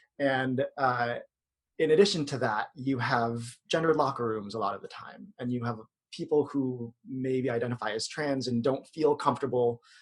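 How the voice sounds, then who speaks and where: A man speaks with a medium pitch and ordinary pitch variation. His pace is moderate. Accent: American. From US, Filipino American. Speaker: yoga instructor. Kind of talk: podcast interview. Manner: hesitant fillers.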